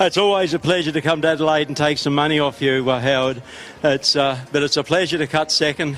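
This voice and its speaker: In an Australian accent, a man speaks very fast at a fairly high pitch, with fairly even intonation, very even loudness and noticeable background noise. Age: 60s. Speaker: axeman competitor. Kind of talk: podium speech.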